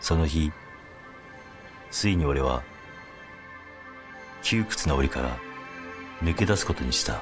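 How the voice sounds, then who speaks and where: A man's very deep, low voice with lively intonation, at a fairly slow pace with long, frequent pauses, over music in the background. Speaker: comedian acting in a TV commercial as a salaryman. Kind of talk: TV commercial narration, inner-monologue voiceover.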